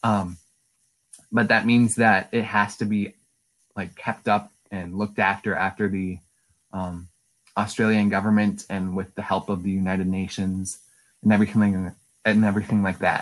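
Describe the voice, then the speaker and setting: In an Upper Midwest accent, a man with a fairly low pitch talks at a moderate pace with long, frequent pauses and monotone, flat intonation, in a very clean recording with a silent background. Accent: Upper Midwest American. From Wisconsin, De Pere. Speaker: college student. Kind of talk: interview.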